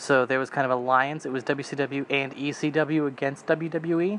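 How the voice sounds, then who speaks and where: Fairly slow, monotone and flat, a man's medium-pitched voice with an American accent. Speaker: wrestling commentary YouTuber. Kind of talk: casual vlog commentary. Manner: deadpan.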